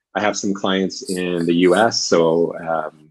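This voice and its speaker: This man has a very deep, low pitch. He speaks with a Canadian accent. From Canada, Vancouver. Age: 40s. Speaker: executive coach. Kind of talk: interview.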